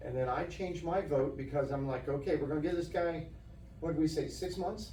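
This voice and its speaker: Speaking at a fairly quick pace with fairly even intonation, a man with a fairly high voice is heard over noticeable background noise and audible room echo. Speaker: township trustee. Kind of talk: heated debate. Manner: sharp, firm.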